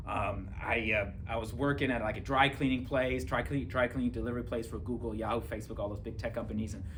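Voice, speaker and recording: A man speaks at a very fast pace with lively intonation. There is audible room echo. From Germany. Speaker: police officer and author. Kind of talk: testimony. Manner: casual, filler-heavy.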